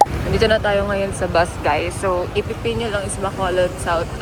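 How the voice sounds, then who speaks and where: A woman speaks quietly at a moderate pace, her medium pitch held in fairly even intonation. There is noticeable background noise. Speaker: travel vlogger. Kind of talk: travel vlog narration. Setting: bus terminal and bus; hotel room. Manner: casual, chatty; quiet, lowered voice.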